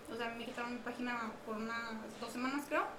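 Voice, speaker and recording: Audible room echo surrounds the voice. A woman talks at a very fast pace. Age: 20s. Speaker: gaming streamer and student. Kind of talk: casual podcast chat.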